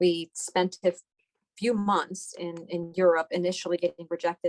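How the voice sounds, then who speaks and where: Dry and close with no echo, the recording carries a woman's fairly low voice in a Persian accent. Her intonation is monotone and flat. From Iran, then Houston, Texas from age ten. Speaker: doctor. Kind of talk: interview.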